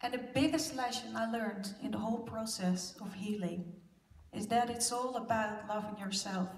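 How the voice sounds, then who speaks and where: With audible room echo, a woman speaks at a moderate pace with a fairly high pitch and fairly even intonation. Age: 40s. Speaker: abuse survivor speaker. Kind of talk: conference presentation. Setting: stage with audience.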